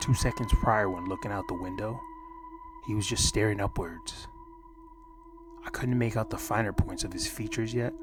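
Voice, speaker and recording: Soft-spoken, a man talks at a moderate pace with long, frequent pauses while music plays in the background. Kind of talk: horror story narration, soft-spoken ASMR reading. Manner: soft-spoken, calm.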